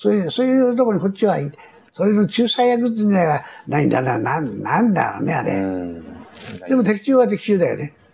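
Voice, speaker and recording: Against noticeable background noise, a man talks at a fairly quick pace. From Tokyo. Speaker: war veteran and company chairman. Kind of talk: interview recounting war memories.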